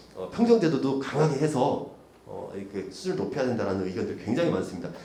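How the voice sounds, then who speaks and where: A man's medium-pitched voice with very wide pitch swings, audible room echo and noticeable background noise. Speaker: policy researcher and session moderator. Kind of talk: conference presentation. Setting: conference room. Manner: fast; hesitant, many fillers.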